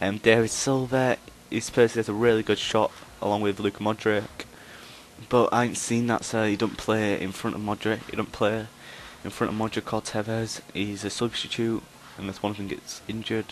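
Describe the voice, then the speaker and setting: A man speaks in a monotone with flat intonation. His pitch is fairly low and his pace fairly quick. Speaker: gaming YouTuber. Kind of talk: gameplay commentary. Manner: fast; hesitant, many ums.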